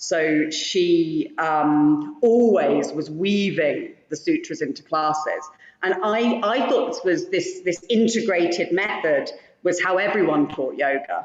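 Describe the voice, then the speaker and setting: A woman with a British accent speaks at a very slow pace. Her pitch is medium and her intonation lively. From Britain. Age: 40s. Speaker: yoga teacher. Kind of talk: casual chat. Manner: halting.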